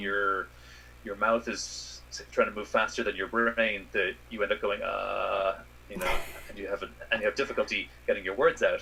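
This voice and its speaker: Someone talks with an American accent at a moderate pace. Noticeable background noise runs underneath. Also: man. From Ireland. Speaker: space scientist. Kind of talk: interview answer. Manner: hesitant, some repetitions.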